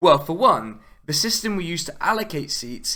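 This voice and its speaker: The voice is bright and sharp in tone, moving at a moderate pace with lively intonation. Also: man. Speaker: political video essayist. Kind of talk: video essay narration. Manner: casual, sarcastic.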